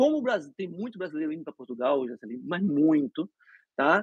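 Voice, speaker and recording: A man speaks fairly quickly, the sound dry and close with no echo. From Brazil (Recife). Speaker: dentist. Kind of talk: interview. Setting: live stream.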